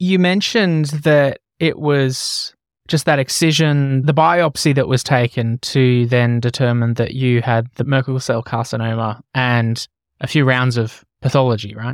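On a very clean recording with a silent background, a man with an Australian accent talks fairly slowly at a medium pitch with ordinary pitch variation. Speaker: podcast host. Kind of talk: interview.

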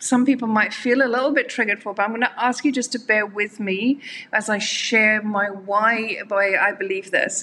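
The voice moves at a moderate pace with a bright, sharp tone and fairly even intonation. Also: woman. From Ireland. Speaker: abuse survivor and speaker. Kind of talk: interview testimony.

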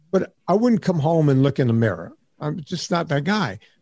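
In a Louisiana accent, a man speaks with a dark, mellow tone. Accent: Southern US, Louisiana. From US South (Louisiana). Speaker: fitness trainer and podcaster. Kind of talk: casual interview. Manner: animated storyteller.

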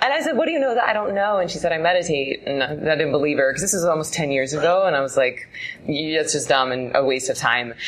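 Over noticeable background noise, a woman with a very deep, low pitch speaks very fast with lively intonation. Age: 30s. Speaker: meditation teacher. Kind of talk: casual chat.

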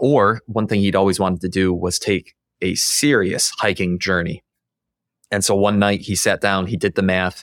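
A man with a normal speaking voice talks at a moderate pace and fairly low pitch with fairly even intonation, captured dry and close with no echo on a very clean recording with a silent background. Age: 30s. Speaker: podcast host. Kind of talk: interview.

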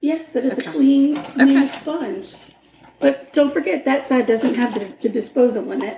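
A woman talks in a high voice at a medium tempo. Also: ordinary pitch variation. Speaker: true crime podcast host. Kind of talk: casual chat.

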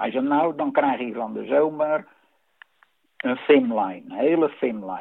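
At a very slow pace with long, frequent pauses, a man with a fairly high pitch speaks with ordinary pitch variation and big swings in loudness. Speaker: retired factory worker. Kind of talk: casual chat. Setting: phone call.

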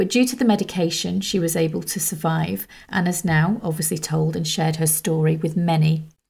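An unremarkable speaking voice moves at a fairly quick pace with lively intonation and hardly any pauses. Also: woman, fairly low pitch for a woman. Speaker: podcast host. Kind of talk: interview.

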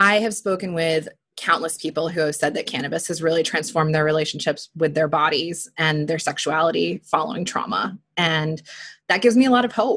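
A woman has an ordinary speaking voice with a fairly low pitch. She talks at a fairly quick pace with ordinary pitch variation. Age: 30s. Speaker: relationship and sex coach. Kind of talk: interview conversation.

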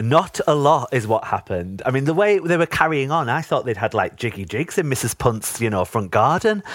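A man talks with a North East England accent at a fairly quick pace. His pitch swings very widely, with hardly any pauses. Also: medium pitch for a man. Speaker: podcast guest, fan of the show. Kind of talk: casual chat. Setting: video call, remote recording.

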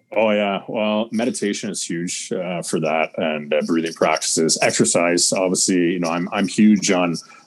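Over noticeable background noise, a man with a very deep, low pitch speaks at a moderate pace with fairly even intonation and hardly any pauses. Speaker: fitness and mindset coach. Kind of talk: casual interview chat. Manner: direct.

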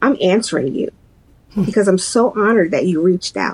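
A woman's voice, dry and close with no echo, over noticeable background noise. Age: 50s. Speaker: mental health advocate and helpline coordinator. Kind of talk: interview testimony.

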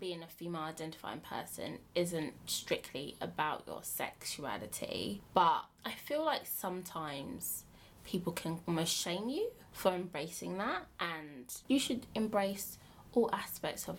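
Lively in intonation, a woman with a fairly low pitch and vocal fry speaks at a fairly slow pace. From Bromley, south-east London. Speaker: dating app co-founder. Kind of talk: casual chat.

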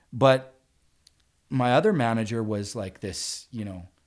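A man of medium pitch talks with fairly even intonation. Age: 40s. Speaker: sales professional. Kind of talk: casual interview chat.

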